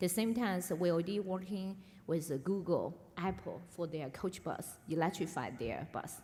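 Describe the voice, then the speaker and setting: In a Chinese accent, a woman with a dark, mellow tone and a somewhat breathy, medium-pitched voice speaks at a moderate pace with ordinary pitch variation amid audible room echo. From China, Yunnan. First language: Mandarin Chinese. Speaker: electric vehicle executive. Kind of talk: onstage interview. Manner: halting, many fillers.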